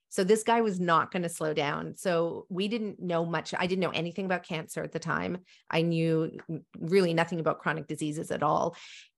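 Against a quiet background, a woman with an ordinary speaking voice talks at a fairly quick pace with fairly even intonation. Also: fairly low pitch for a woman. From Africa, then Canada. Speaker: nutrition practitioner, podcast host. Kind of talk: interview conversation.

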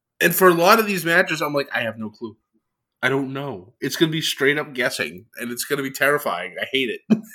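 A man with a fairly high pitch and a bright, sharp tone talks at a fairly quick pace, his voice showing vocal fry, very wide pitch swings and big swings in loudness. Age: 30s. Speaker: wrestling podcast co-host. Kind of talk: casual chat. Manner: animated.

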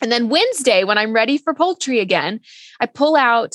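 With a Texan accent, a woman talks at a fairly quick pace with lively intonation. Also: dry, close sound with no echo. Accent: Texan American. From Texas, San Antonio. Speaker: cookbook author and nutritionist. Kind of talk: interview conversation. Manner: cheerful, warm.

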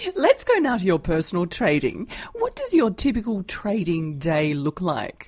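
A woman speaks in an Australian accent. Her pace is moderate. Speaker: financial journalist, podcast host. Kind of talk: interview.

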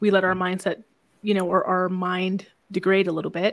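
Soft-spoken and calm, a woman with a medium pitch talks at a fairly quick pace in a very clean recording with a silent background. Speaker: podcast host and business mentor. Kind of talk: casual interview chat about sales and mindset. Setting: live radio broadcast conversation. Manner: calm, soft-spoken, introverted.

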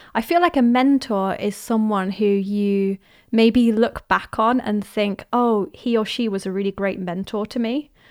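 A woman talks in an ordinary speaking voice, fairly high in pitch, at a fairly slow pace with hardly any pauses. Her pitch varies in an ordinary way on a very clean recording with a silent background. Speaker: podcast host. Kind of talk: casual conversation podcast.

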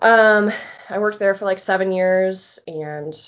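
At a moderate pace, a woman with a plain, everyday voice and an American accent speaks at a medium pitch. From Florida. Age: 30s. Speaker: photographer and graphic designer. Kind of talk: casual chat.

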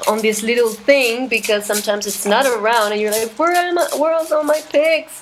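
Noticeable background noise sits behind a woman with a fairly high pitch. She speaks at a moderate pace with ordinary pitch variation. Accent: Spanish. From Chile, Santiago. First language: Spanish. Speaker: jazz guitarist and singer. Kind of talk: interview. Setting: video call.

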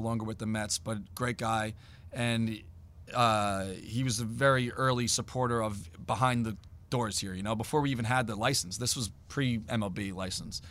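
A man with an unremarkable speaking voice holds medium pitch and fairly even intonation at a moderate pace, recorded very cleanly against a silent background. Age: 40s. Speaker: fan apparel business owner. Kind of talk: interview. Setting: team store.

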